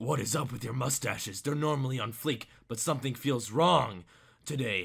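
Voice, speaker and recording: A raspy, gruff put-on character voice from a man, medium in pitch, at a moderate pace with ordinary pitch variation. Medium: read story. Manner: gruff, grunting.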